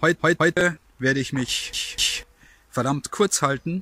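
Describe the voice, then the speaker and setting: A man's bright, sharp voice with ordinary pitch variation, dry with no echo, over light background noise. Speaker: vlogger. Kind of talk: casual vlog chat. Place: forest. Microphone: phone near.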